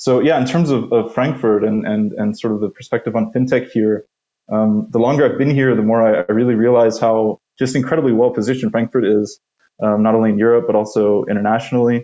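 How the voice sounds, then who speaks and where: In an American accent, a man with an ordinary speaking voice talks at a fairly quick pace, his medium pitch held in fairly even intonation. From US. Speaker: venture capital investor. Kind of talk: podcast interview.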